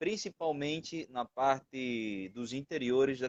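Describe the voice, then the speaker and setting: With ordinary pitch variation and a medium pitch, a man speaks in a dry, close sound with no echo. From Venezuela. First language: Spanish (speaking Portuguese). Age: 20s. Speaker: missionary. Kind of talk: testimony. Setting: live stream.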